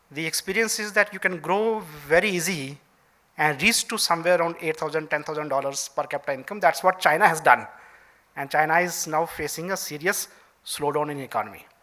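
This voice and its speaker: This man speaks with an Indian accent at a fairly quick pace. His pitch is fairly high. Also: ordinary pitch variation. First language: Dogri. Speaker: senior civil servant. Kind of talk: keynote speech. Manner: halting, many fillers.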